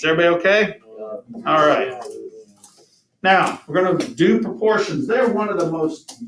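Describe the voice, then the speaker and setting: A man is speaking here. Audible room echo surrounds his voice. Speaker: math teacher. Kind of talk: classroom lecture. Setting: classroom with students. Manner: fast.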